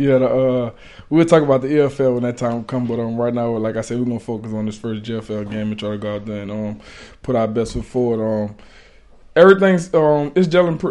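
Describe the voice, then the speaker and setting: A man's dark, mellow voice at a medium pitch and fairly quick pace, with ordinary pitch variation against a quiet background. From USA. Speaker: American football player. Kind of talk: interview. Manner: halting.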